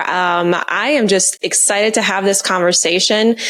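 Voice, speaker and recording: Noticeable background noise is present throughout. Over it, a woman talks at a medium pitch. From Romania. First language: Romanian. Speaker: finance and real estate entrepreneur. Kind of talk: podcast interview.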